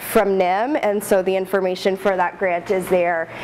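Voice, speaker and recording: A woman talks at a moderate pace, and noticeable background noise can be heard. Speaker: postdoctoral researcher presenting study. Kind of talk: research presentation. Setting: room with live audience, no mic. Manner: loud.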